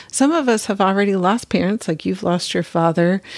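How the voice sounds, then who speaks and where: A woman with an unremarkable speaking voice talks at a medium pitch with ordinary variation, the sound dry and close with no echo. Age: 50s. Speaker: podcast host. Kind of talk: casual chat.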